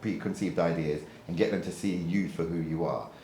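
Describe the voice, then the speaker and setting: A man with a British accent speaks at a fairly quick pace. Noticeable background noise and audible room echo are present. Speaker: property lettings trainer. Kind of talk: feedback session.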